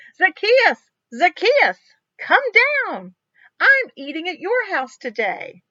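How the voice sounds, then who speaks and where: In a put-on character voice, a woman speaks at an extremely high, squeaky pitch with very wide pitch swings, a warm, gentle tone, a fairly slow pace, and long, frequent pauses. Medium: read story.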